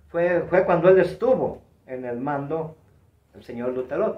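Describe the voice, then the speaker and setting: Here a man speaks with a fairly high pitch. Audible room echo surrounds his voice. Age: 70s. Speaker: retired professional wrestler. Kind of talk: interview, reminiscing. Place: home room. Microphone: camera far.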